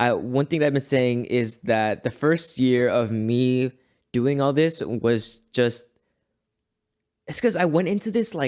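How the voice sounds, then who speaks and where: A man with an ordinary speaking voice talks at a fairly slow pace in a medium pitch with lively intonation. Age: 20s. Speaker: podcast host. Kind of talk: solo reflective monologue.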